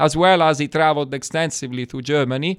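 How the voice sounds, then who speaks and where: The voice has an Italian accent, in a very clean recording over a silent background. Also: man. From Italy, Florence. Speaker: wine export manager. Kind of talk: interview.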